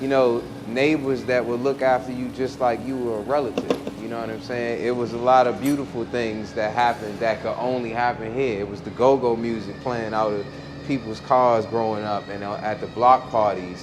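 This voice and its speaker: Medium-pitched male voice with a DC accent, amid audible room echo and noticeable background noise. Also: moderate pace. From Washington DC. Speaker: musician. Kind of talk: casual chat. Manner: animated.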